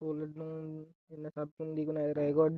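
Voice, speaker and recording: Speaking fairly slowly, a woman uses a very deep, low pitch. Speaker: gaming youtuber. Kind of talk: gameplay commentary. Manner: casual, chatty.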